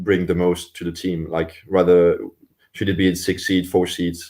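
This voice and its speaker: A man with a Swiss French accent speaks at a fairly slow pace in a very deep, low pitch. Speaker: Olympic rower. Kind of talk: interview. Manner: hesitant, many repetitions and fillers.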